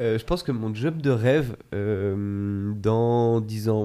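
A man with a dark, mellow tone speaks at medium pitch with fairly even intonation on a very clean recording with a silent background. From France, Chamonix (Alps). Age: 20s. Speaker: data scientist, sports performance analyst. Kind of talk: interview conversation. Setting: recording in Grenoble.

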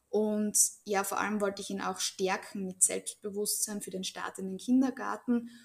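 A woman with a normal speaking voice talks at medium pitch and a moderate pace, her intonation fairly even. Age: 30s. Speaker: Bach flower remedy practitioner. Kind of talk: interview.

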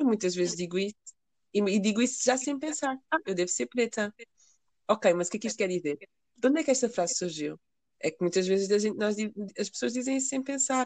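A woman with a fairly high pitch talks at a fairly quick pace with lively intonation. She takes long, frequent pauses, and the sound is dry and close with no echo. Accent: slight African. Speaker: podcast co-host. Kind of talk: casual chat. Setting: remote recording.

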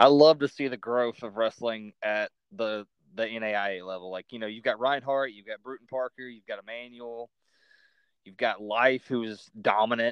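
In a Southern accent, the speaker keeps a moderate pace and fairly even intonation, with big swings in loudness. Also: man, medium pitch for a man. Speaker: podcast host. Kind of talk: casual interview.

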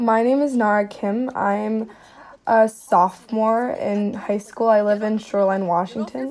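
At a fairly slow pace, a woman talks in an ordinary speaking voice with fairly high pitch. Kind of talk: casual personal diary. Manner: casual, uses many 'like's.

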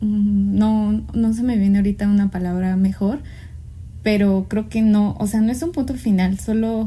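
A woman speaks at a fairly slow pace with fairly even intonation. Her medium-pitched voice has a dark, mellow tone and is somewhat breathy. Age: 20s. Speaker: podcast co-host. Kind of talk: casual chat.

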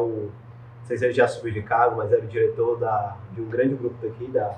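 A man speaks in a normal speaking voice. His pace is fairly quick, with ordinary pitch variation. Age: 20s. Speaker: digital marketing entrepreneur. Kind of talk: interview. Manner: casual slangy.

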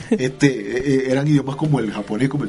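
A man's voice amid noticeable background noise. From Venezuela, Barquisimeto (Lara). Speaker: musician, composer and conductor. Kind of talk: radio interview. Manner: halting, repeats words.

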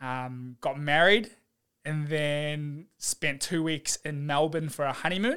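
Speech comes at a very slow pace with ordinary pitch variation and a bright, sharp tone. The recording is very clean, with a silent background. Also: man, fairly high pitch for a man. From New Zealand. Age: 20s. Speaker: physiotherapist. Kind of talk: casual chat. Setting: in-person at host's home. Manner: animated.

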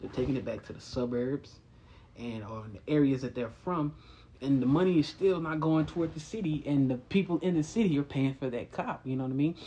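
Speaking fairly quickly with an American accent, a man has a dark, mellow tone, a fairly high pitch, and ordinary pitch variation. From Texas, Dallas. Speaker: podcast host. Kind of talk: casual monologue.

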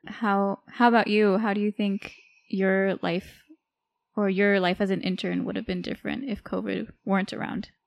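In an American accent, a woman talks at medium pitch and a moderate pace. Her intonation is monotone and flat over a quiet background. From California, Bay Area. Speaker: medical resident, podcast co-host. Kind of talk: casual chat.

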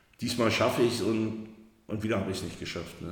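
Monotone, flat intonation is heard through audible room echo. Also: man. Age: 50s. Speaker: recovering alcoholic. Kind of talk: personal testimony. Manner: halting.

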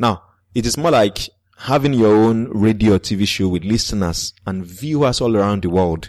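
Speech with a Nigerian accent, ordinary pitch variation and a moderate pace. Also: man, fairly low pitch for a man. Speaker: podcaster. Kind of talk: interview.

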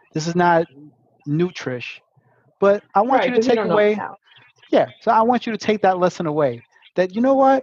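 In a dry, close recording with no echo, a man talks at a moderate pace with lively intonation. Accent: Brooklyn. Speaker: podcast host.

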